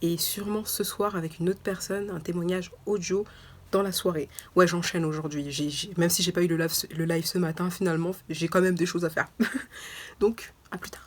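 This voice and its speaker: The speaker is a woman with a fairly low pitch. She moves at a fairly quick pace with fairly even intonation. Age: 20s. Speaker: lifestyle vlogger. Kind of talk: casual vlog talk. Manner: halting, many fillers.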